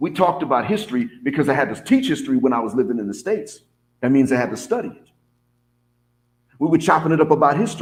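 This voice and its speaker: A man's fairly high voice, very fast yet with long, frequent pauses and very wide pitch swings. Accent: American. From US South. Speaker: vlogger and English teacher abroad. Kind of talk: casual monologue.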